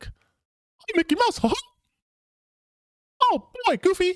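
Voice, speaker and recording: A put-on character voice sits at an extremely high pitch. The pace is very slow. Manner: cheerful.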